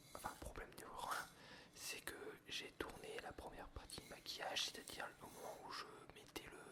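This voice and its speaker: A man whispering at a moderate pace amid noticeable background noise. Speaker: ASMR creator, art school student. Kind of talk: casual talk to camera, chatting about his life. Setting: indoors at home, ASMR recording with coffee sounds. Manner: whispered, soft-spoken.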